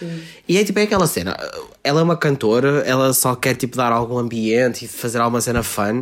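A man talks at a fairly quick pace and medium pitch with lively intonation. His is an unremarkable speaking voice. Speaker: podcast host. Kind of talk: casual chat.

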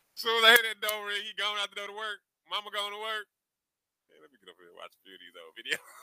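A man's raised, projected voice, high-pitched, bright and sharp, flat and monotone, delivered at a very fast pace with big swings in loudness, in a dry, close sound with no echo. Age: 40s. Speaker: podcast co-host. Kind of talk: casual chat.

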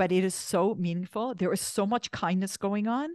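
A woman with a Canadian accent talks at a moderate pace and medium pitch, showing ordinary pitch variation. She has an ordinary speaking voice, heard against a quiet background in a dry, close sound with no echo. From Canada, Toronto. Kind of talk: podcast interview.

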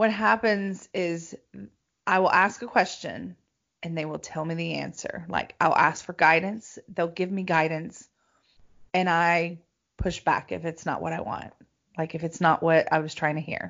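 A woman with an unremarkable speaking voice talks at a fairly slow pace. Her pitch is fairly low and her intonation fairly even. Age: 40s. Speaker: intuitive coach and podcast host. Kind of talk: casual chat.

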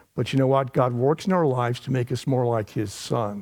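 The recording is very clean, with a silent background. A normal speaking voice talks at a moderate pace. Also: man. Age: 60s. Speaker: preacher. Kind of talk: sermon. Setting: church.

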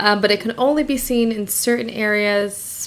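A woman speaks at a fairly slow pace. Her pitch is fairly high. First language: not English. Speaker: podcast host, crystal healer. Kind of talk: casual solo monologue. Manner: casual with fillers and self-corrections.

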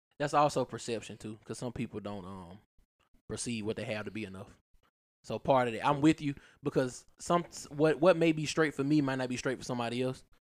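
In an ordinary speaking voice, a man talks fairly quickly at medium pitch, his loudness swinging widely. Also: ordinary pitch variation. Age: 30s. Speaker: podcast host. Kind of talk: casual chat.

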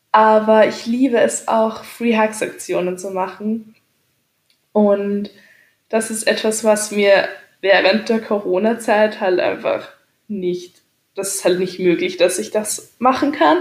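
Her pitch is fairly high, with ordinary variation. This woman speaks at a very slow pace, with long, frequent pauses. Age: 20s. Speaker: podcaster. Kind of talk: casual monologue. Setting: home, on a couch.

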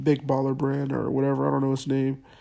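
A man speaks with an American accent. His pitch is fairly high, his tone dark and mellow. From California (Clovis, Central Valley). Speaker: podcast host. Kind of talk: casual solo monologue. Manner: casual, many filler words.

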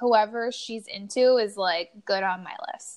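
A woman's animated voice, fairly high in pitch, with ordinary pitch variation. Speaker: podcast host. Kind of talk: casual chat. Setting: kitchen at home. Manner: animated, excitable.

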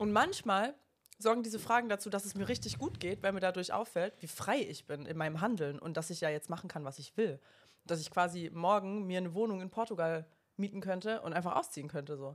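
With an unremarkable speaking voice, a woman talks at a fairly quick pace, her medium pitch rising and falling in lively intonation. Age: 20s. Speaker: spirituality podcast co-host. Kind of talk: casual chat.

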